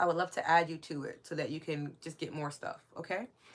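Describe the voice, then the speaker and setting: Speech in a strong New York accent rushes along at a very fast pace. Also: woman. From New York City. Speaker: spiritual wellness podcast host. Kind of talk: live stream chat with viewers. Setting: live stream. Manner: warm, casual.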